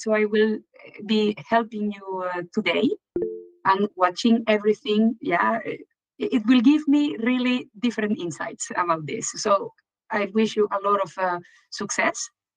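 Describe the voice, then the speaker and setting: A woman speaks with lively intonation in a Venezuelan accent while music plays in the background. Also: dry, close sound with no echo. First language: Spanish. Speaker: event organizer. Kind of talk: live stream commentary.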